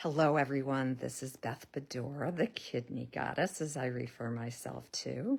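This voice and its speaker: On a very clean recording with a silent background, a woman speaks at a very deep, low pitch with vocal fry and fairly even intonation. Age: 60s. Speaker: health and lifestyle vlogger. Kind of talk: casual monologue to camera. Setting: social media video. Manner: conversational, with filler ums.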